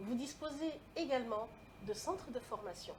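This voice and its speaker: The speaker keeps a moderate pace and ordinary pitch variation while noticeable background noise carries on behind. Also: woman. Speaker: lecturer and public speaking coach. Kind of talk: interview. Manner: carefully articulated.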